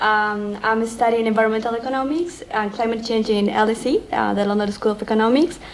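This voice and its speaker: Fairly quick, fairly high-pitched speech from a woman over noticeable background noise. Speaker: graduate student. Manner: halting.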